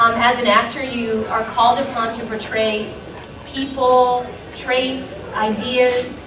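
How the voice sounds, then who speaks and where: A woman's high, monotone, flat voice at a very slow pace, over noticeable background noise. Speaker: voice actress, star of a famous anime dub. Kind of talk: casual panel talk to a live audience. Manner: friendly, chatty, humorous.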